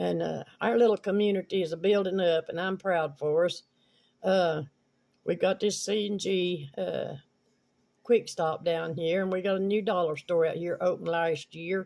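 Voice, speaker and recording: Speaking in an Appalachian accent, a man has a high-pitched voice. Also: fairly even intonation, moderate pace. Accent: Southern Appalachian American. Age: 70s. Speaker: video blogger. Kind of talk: casual storytelling. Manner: rambling, halting with fillers.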